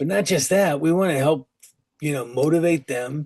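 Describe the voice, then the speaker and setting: The speaker is a man. He keeps to a medium tempo. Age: 60s. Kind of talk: sermon. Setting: online call. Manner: casual, conversational.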